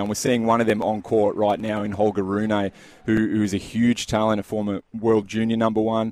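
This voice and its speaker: An Australian accent is heard. The speaker is a man. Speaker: tennis reporter. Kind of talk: live report, casual. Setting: at tennis venue.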